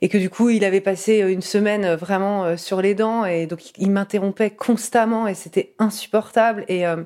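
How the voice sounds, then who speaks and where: A woman speaks with a dark, mellow tone at medium pitch and fairly even intonation. The recording is very clean, with a silent background. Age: 30s. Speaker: interviewee sharing a personal story. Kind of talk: testimony.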